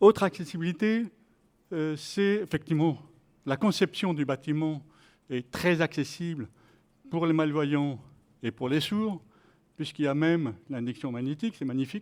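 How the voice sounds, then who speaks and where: Speaking at a fairly slow pace with long, frequent pauses, a man uses ordinary pitch variation in a very clean recording with a silent background. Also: fairly high pitch for a man. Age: 60s. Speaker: participant in health sport program. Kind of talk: testimony. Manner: halting.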